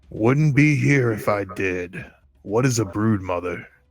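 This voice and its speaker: A man's raspy, put-on character voice, fairly low in pitch and at a fairly slow pace, on a very clean recording with a silent background. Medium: actual play. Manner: gruff, curt.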